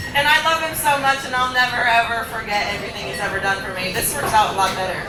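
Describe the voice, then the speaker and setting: A woman's fairly high, lively voice at a very fast pace, amid noticeable background noise and audible room echo. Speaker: singer. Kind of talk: memorial speech.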